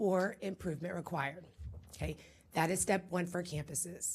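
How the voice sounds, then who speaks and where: A somewhat breathy woman with an American accent, at a fairly quick pace. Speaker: school district administrator. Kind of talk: briefing presentation to a school board.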